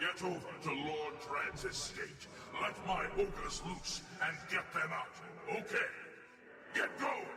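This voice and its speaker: A man puts on a character voice at a fairly slow pace, with long, frequent pauses, clear background noise and a clear echo. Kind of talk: video game voice acting. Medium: game stream. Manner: gruff, blunt, commanding.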